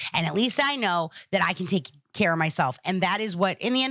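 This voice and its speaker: A woman talks in an animated tone with lively intonation. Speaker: podcast host. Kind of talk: casual monologue to live chat. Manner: loud.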